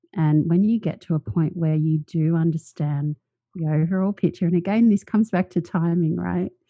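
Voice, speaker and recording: A woman's normal speaking voice at a moderate pace, fairly low in pitch with ordinary pitch variation. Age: 40s. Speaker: author and speaker. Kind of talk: interview.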